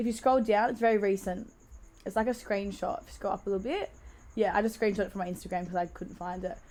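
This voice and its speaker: Speaking at a very fast pace, a woman with an Australian accent has a dark, mellow tone and medium pitch with ordinary variation. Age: 20s. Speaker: DJ. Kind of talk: casual chat. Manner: animated.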